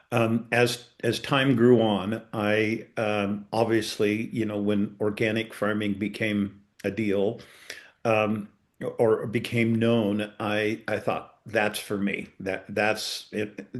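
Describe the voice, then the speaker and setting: Against a quiet background, a speaker with an American accent talks at a very slow pace in a monotone, flat intonation. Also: man, fairly low pitch for a man. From eastern Colorado. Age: 60s. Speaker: farmer. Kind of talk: webinar panel talk.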